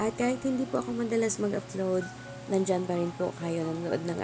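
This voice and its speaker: At a fairly quick pace, the woman's pitch swings very widely while noticeable noise sounds in the background. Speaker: cooking vlogger. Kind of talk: voiceover narration of cooking video. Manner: polite, respectful.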